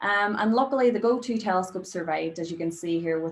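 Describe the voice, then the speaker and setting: A woman with a Northern Irish accent, at a fairly quick pace, with ordinary pitch variation. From Derry, Northern Ireland. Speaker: astrophysicist, postdoctoral researcher. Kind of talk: public science lecture.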